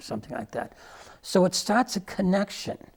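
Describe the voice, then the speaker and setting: Somewhat breathy, a man speaks at a moderate pace in a very clean recording with a silent background. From Irish-Scottish immigrant. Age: 70s. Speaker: storyteller and hospice volunteer. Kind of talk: radio interview. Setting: studio.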